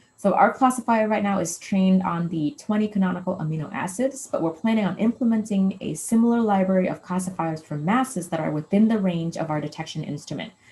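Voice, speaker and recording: Talking at a very fast pace with hardly any pauses and ordinary pitch variation, the speaker is heard over noticeable background noise. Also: woman, medium pitch for a woman. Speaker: postdoc researcher. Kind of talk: lecture.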